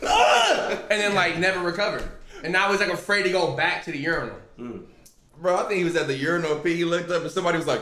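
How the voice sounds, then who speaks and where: Talking at a very fast pace, a man with a high pitch shows ordinary pitch variation, with audible room echo around him. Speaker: streamer hosting reaction stream. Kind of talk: casual live-stream reaction chat. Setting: live stream at home with friends. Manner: animated, loud exclamations. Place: home room.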